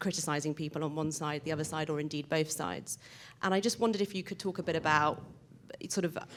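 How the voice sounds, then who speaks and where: At a very fast pace, a woman with a British accent speaks at a very deep, low pitch with fairly even intonation. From Britain. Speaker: audience member asking a question. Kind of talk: audience question at a panel.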